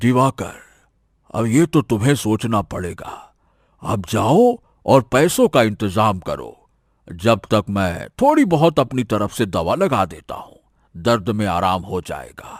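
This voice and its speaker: A cartoonish character voice from a man, medium in pitch, at a fairly slow pace, with a dry, close sound with no echo and a very clean recording over a silent background. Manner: calm, businesslike.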